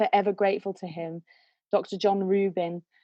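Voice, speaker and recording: A British accent with ordinary pitch variation. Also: woman. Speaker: singer and vocal coach. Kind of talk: interview storytelling. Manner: animated.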